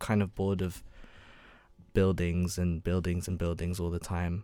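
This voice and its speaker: A man with a London accent, dark and mellow in tone, at a fairly quick pace, in a very clean recording with a silent background. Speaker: university student and photographer. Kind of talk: casual interview chat. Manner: hesitant, many ums and stammers.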